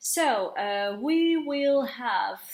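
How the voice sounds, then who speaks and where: A woman speaks in a French accent. Her pitch is high. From France. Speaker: tarot reader and psychic medium. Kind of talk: tarot card reading monologue. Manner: halting, searching for words.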